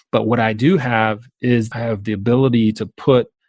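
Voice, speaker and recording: A man with a Southern accent is heard in a dry, close recording with no echo. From US South, South Georgia. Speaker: entrepreneurship educator and author. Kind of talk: podcast interview. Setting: call.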